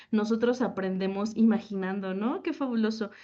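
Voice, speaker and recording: Against a quiet background, a woman speaks at a moderate pace with ordinary pitch variation. Her voice is fairly high, with a dark, mellow tone. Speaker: teacher. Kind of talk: conference talk. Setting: panel at a forum.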